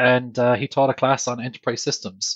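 A man with an Irish accent at a fairly quick pace. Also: dry, close sound with no echo. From Ireland. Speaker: technology leading practices director. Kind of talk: casual interview.

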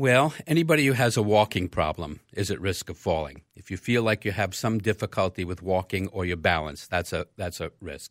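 This man talks in a normal speaking voice, fairly low in pitch, with lively intonation. He moves at a fairly quick pace with hardly any pauses, and the sound is dry and close with no echo. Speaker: geriatric physician. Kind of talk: radio health interview. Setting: studio.

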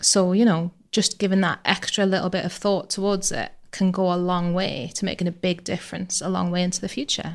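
The recording is very clean, with a silent background. A woman with a medium pitch talks fairly quickly with fairly even intonation in a plain, everyday voice. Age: 40s. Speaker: pensions training manager. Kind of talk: casual chat.

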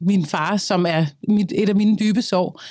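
In a very clean recording with a silent background, a woman speaks at a medium pitch with ordinary pitch variation in a plain, everyday voice. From Denmark, Copenhagen (Østerbro). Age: 30s. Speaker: singer and social media creator. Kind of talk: interview, personal conversation.

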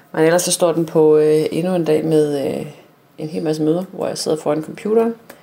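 Noticeable background noise is present. The speaking pace is moderate. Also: woman. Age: 40s. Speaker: island resident, office worker. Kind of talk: self-recorded audio diary.

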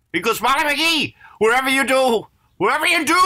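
A man talks in a raised, projected voice with lively intonation at a fairly quick pace. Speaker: voice actor. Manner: animated, high-energy.

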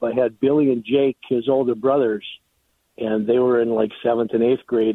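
With an American accent, a man speaks at a moderate pace in a normal speaking voice of medium pitch. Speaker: former high school coach. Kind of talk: recorded interview.

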